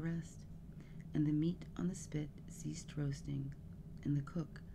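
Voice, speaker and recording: Soft-spoken, this voice moves at a fairly slow pace. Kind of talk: ASMR bedtime story reading.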